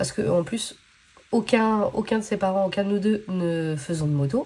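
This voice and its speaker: Lively intonation carries a dark, mellow, somewhat breathy tone. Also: woman. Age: 30s. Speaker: budgeting vlogger. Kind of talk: casual vlog chat. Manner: hesitant, many fillers.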